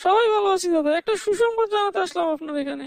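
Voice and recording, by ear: A cartoonish character voice at an extremely high pitch and a fairly quick pace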